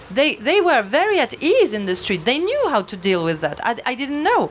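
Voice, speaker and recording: With a French accent, a woman speaks in very wide pitch swings over noticeable background noise. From France, Basque Country (southwest). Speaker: novelist. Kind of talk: panel discussion at a book launch. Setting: bookshop event with audience. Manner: halting, many hesitations.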